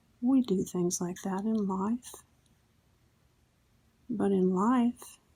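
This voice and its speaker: Soft-spoken woman with a calm, dark, mellow tone, somewhat breathy, very slow pace and fairly even intonation. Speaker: Zentangle instructor. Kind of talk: instructional ASMR tutorial. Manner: soft-spoken, slow, calm. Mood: calm, gentle, reflective.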